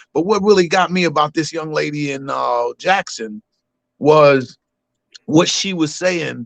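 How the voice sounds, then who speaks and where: A man with an American accent and an ordinary speaking voice, fairly high in pitch, with lively intonation and a dry, close sound with no echo. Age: 60s. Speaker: caller. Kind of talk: call-in testimony.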